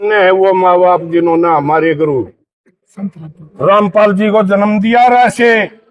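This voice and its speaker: A man's high voice with lively intonation. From Haryana. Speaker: former cow shelter president. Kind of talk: interview.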